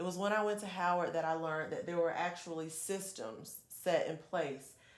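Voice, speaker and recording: At a moderate pace, a woman with a fairly low voice speaks in a room with audible echo. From Georgia, US South (Perry). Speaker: congressional candidate. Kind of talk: interview. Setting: studio. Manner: animated.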